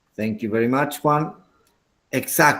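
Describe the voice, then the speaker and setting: This is a man speaking with an Andean accent. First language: Quechua. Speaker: English teacher. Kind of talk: lecture.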